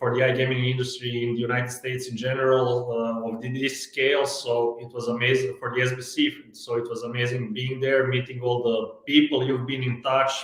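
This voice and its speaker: A man with a non-native accent, medium pitch, moderate pace and hardly any pauses, over noticeable background noise. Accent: foreign. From Croatia. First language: Croatian. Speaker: sales executive. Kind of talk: interview. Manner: hesitant, many fillers.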